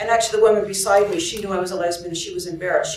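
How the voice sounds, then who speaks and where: A soft-spoken woman with a Canadian accent, amid noticeable background noise and audible room echo. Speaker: nurse and union activist. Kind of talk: storytelling. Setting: conference story circle with audience. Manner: halting.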